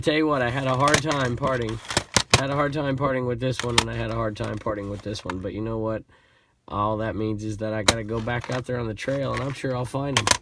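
Despite loud background noise, the sound stays dry with no echo as a man with an American accent speaks very fast, his intonation fairly even. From California. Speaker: eBay reseller and YouTuber. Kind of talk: casual vlog chat. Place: home room.

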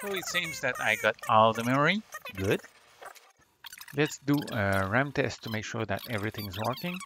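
A man with a non-native accent speaks at a medium pitch and a moderate pace. His intonation is lively, and his pauses are long and frequent. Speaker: retro computer hobbyist. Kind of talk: hobby tech voice-over.

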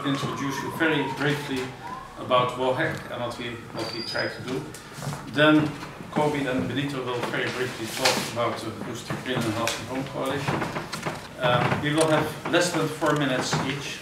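Amid loud background noise and audible room echo, a man talks at a moderate pace. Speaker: presenter. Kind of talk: workshop introduction. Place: classroom. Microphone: camera far.

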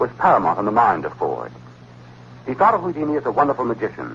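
Light background noise sits behind a man speaking at a very fast pace. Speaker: radio show host. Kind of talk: 1960s radio show narration, reading a historical account and a letter. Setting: vintage radio broadcast recording. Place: studio. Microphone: old recording.

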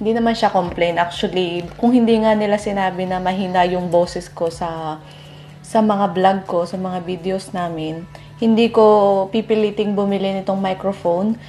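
Moderate-paced female speech with ordinary pitch variation over light background noise. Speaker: vlogger. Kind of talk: casual vlog chat, product review. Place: kitchen. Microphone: lapel.

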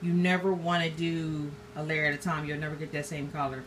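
Music plays in the background as a woman speaks at a moderate pace. Her voice is fairly low in pitch, with fairly even intonation. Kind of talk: tutorial. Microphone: phone near.

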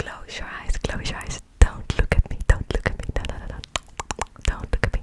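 Amid loud background noise, a soft-spoken woman whispers with a dry sound and no echo. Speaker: ASMR creator. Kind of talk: soft ASMR talk to viewer. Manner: soft close-mic ASMR whisper. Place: home room. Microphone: studio mic.

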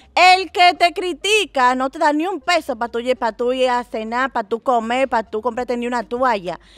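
A woman with a Dominican accent speaks at a high pitch with lively intonation. The sound is dry with no echo. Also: hardly any pauses. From Dominican Republic. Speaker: content creator; interviewee. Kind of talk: casual interview. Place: garden. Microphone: handheld.

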